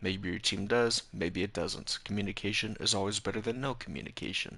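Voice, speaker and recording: A man with a fairly low pitch, a bright, sharp tone, a moderate pace and fairly even intonation. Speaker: game streamer reviewing gameplay. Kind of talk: live stream gameplay review. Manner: hesitant, many fillers.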